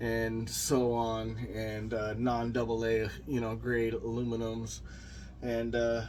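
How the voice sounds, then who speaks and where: A man's voice with audible room echo. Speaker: motorcycle builder YouTuber. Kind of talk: casual walkthrough video. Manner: unscripted, halting with fillers.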